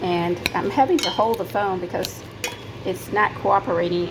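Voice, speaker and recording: Audible room echo and noticeable background noise accompany a woman speaking with ordinary pitch variation. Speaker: cooking show host. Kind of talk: cooking tutorial. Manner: fast.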